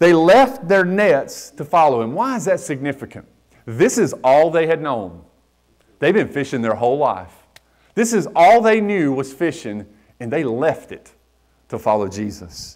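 Against a quiet background, a man with a North Carolina accent speaks at a moderate pace in a fairly high voice with very wide pitch swings. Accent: Southern US (North Carolina). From US South, western North Carolina. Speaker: pastor. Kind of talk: sermon. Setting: church. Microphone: lapel.

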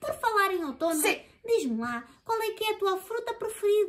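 A cartoonish character voice at extremely high pitch moves along at a moderate pace. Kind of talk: children's puppet show dialogue. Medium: puppet.

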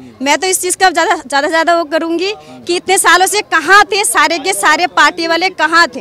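A woman with an extremely high pitch speaks in a raised, projected voice at a fairly slow pace with hardly any pauses, in a dry sound with no echo over light background noise. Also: ordinary pitch variation. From Delhi, Jahangirpuri; Delhi. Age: 30s. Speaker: local resident; interviewee. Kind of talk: street interview. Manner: animated. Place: street. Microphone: handheld.

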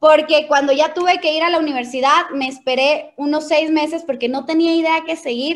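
A woman talks at a fairly quick pace in a high pitch with an animated tone. Her pitch varies in an ordinary way, and the background is quiet. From Ecuador, Quito; Ecuador. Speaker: network marketing leader; presenter. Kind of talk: motivational training talk. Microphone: video call.

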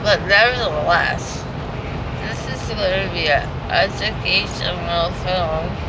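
A woman speaking at a very slow pace amid loud background noise. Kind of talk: casual vlog chat. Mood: giddy, joking. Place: car. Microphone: phone near.

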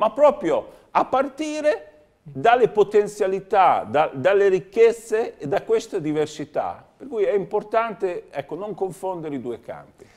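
Loudness rises and falls in big swings while the pitch moves in very wide arcs. The pace is fairly slow. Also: man, high pitch for a man. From Romagna, Italy (Cesenatico); Romagna, Italy. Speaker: member of European Parliament, former mayor and dentist; former mayor. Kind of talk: TV interview. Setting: TV studio. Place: studio. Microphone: lapel.

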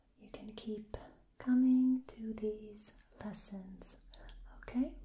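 A soft-spoken woman talks at a very slow pace in a gentle, somewhat breathy tone. Light background noise and audible room echo fill the recording. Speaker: language teacher. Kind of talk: tutorial. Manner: soft-spoken, gentle ASMR voice. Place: home room. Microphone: phone near.

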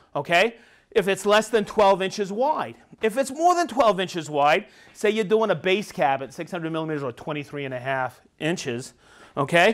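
Behind the voice, the background stays quiet. Speech moves at a moderate speed. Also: man. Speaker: tool trainer. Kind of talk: tutorial. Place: workshop.

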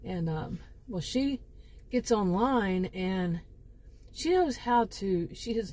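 Speaking very slowly, a woman has a somewhat breathy voice with a dark, mellow tone. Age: 50s. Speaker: YouTuber telling fictional stories. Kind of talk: casual monologue to camera. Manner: halting with many fillers.

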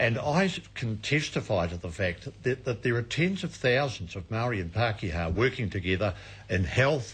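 This man speaks at a moderate pace in a fairly low pitch with lively intonation. His voice is somewhat breathy. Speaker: audience commentator. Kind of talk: debate contribution. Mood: earnest, persuasive. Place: stage.

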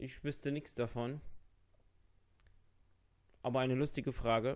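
A man's medium pitch with a slightly mellow tone, fairly even intonation and a slow pace

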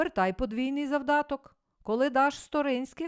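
A shouting, shrill, female-sounding put-on character voice, high in pitch, at a moderate pace. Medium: read story. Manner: curt, shouting.

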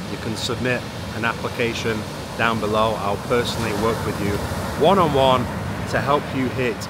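A man at a fairly quick pace, dry sound with no echo, loud background noise. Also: ordinary pitch variation. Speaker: fitness coach vlogger. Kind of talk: casual vlog chat. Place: beach. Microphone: phone near.

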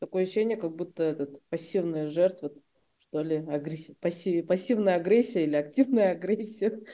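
Her voice fairly low with a dark, mellow tone, a woman speaks at a moderate pace with ordinary pitch variation. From Kyrgyzstan. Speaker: journalist interviewer. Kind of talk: interview. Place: home room. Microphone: webcam.

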